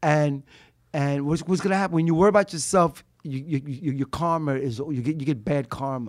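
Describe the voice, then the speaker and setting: Speaking at a fairly quick pace, a man with a plain, everyday voice uses a fairly high pitch with ordinary pitch variation. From Brooklyn, New York. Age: 60s. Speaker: street performer, musician and poet.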